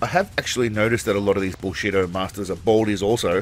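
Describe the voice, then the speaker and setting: A man's fairly low-pitched voice with an Australian accent, with music in the background. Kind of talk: comedic commentary narration. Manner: sarcastic, humorous.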